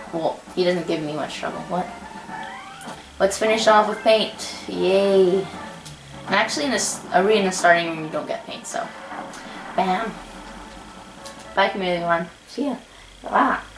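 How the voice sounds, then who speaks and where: An animated tone comes through at a moderate pace, broken by long, frequent pauses. Audible room echo and music in the background surround the voice. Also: woman, medium pitch for a woman, ordinary pitch variation. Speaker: gaming youtuber. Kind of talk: gameplay commentary. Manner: casual, animated.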